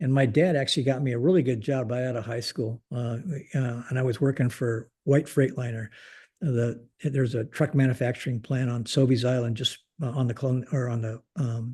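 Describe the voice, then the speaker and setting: A man with a Pacific Northwest accent speaks at a moderate pace in a dark, mellow, somewhat breathy voice of medium pitch with fairly even intonation. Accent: General American (Pacific Northwest). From US Pacific Northwest (Portland, Oregon). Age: 70s. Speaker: retired air force general. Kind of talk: interview conversation. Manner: halting, many fillers and restarts.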